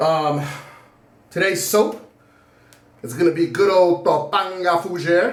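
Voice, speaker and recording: High-pitched male voice with audible room echo and noticeable background noise. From Puerto Rican heritage. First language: Spanish. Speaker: shaving video creator. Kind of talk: casual vlog monologue. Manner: loud.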